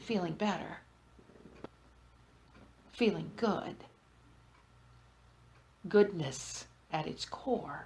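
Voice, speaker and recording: At a very slow pace with long, frequent pauses, a woman speaks in a soothing tone with lively intonation and vocal fry. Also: medium pitch for a woman. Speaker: hypnotherapist. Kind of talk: group hypnosis trance session. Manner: slow, soothing.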